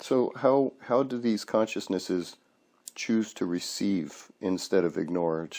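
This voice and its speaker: The man has a dark, mellow tone. He speaks at a fairly slow pace with ordinary pitch variation. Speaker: hypnosis practitioner. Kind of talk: hypnosis session questioning.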